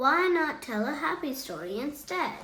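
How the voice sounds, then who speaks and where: A woman puts on a high-pitched character voice at a moderate pace. An echo is audible. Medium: read story. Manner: warm, affectionate.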